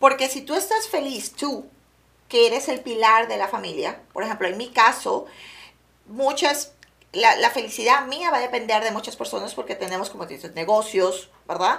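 This woman has an unremarkable speaking voice, pitched fairly high, with lively intonation. She keeps a moderate pace while her loudness swings widely. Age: 40s. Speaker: real estate agent. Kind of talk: casual interview. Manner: mixes English into Spanish.

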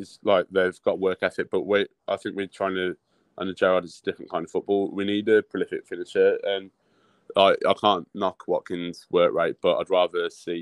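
This man has a Birmingham accent. His pace is fairly quick. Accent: Birmingham (Brummie) English. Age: 30s. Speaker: football fan. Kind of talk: casual chat.

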